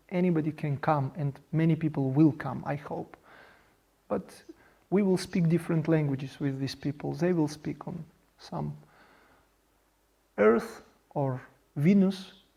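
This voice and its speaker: This man speaks at a fairly slow pace in a dark, mellow, somewhat breathy tone with a non-native accent, ordinary pitch variation, and long, frequent pauses. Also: fairly high pitch for a man. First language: Russian. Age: 40s. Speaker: project founder. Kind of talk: monologue presentation. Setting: video studio. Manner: halting.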